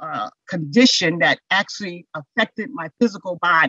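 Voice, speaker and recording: A woman's bright, sharp voice with very wide pitch swings, dry with no echo, over a quiet background. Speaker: instructor presenting on mental health. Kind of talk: lecture. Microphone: webcam.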